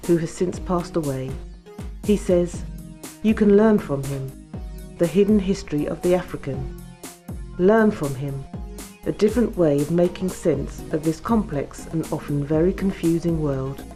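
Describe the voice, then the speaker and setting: Against music in the background, a woman with a very deep, low pitch speaks with ordinary pitch variation and long, frequent pauses. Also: moderate pace. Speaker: documentary narrator. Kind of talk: documentary narration.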